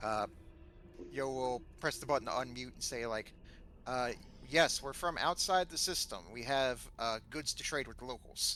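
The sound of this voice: The man's tone is bright and sharp. He speaks at a medium pitch and a moderate pace. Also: ordinary pitch variation.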